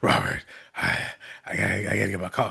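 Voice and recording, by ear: A man puts on a character voice. He rattles along at a very fast pace.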